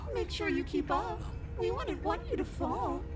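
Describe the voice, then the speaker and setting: Loud background noise surrounds a put-on character voice moving at a moderate pace. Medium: virtual streamer. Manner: cold, controlling, menacing.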